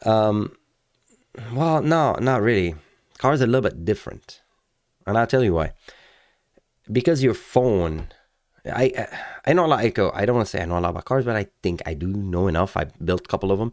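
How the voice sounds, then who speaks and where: A man with a non-native accent speaks with lively intonation and long, frequent pauses. The recording is very clean, with a silent background. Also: medium pitch for a man, fairly quick pace. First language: not English. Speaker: car channel host. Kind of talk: casual video commentary. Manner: halting, many fillers.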